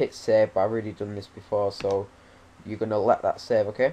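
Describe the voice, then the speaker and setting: Over noticeable background noise, a man talks at a fairly low pitch with monotone, flat intonation. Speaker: video tutorial maker. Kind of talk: tutorial. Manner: casual with fillers.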